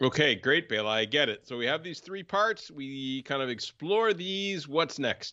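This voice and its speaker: Pitch swinging very widely, a man with a fairly high voice talks at a moderate pace with hardly any pauses. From Germany-based. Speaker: co-host, non-sailor. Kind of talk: casual conversational podcast. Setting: remote recording.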